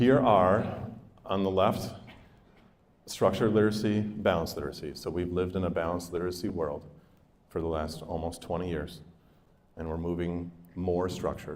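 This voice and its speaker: A man speaks at a fairly quick pace in a very deep, low pitch with fairly even intonation. Long, frequent pauses break up his speech, and audible room echo surrounds it. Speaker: school district literacy presenter. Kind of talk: professional development presentation. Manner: fast.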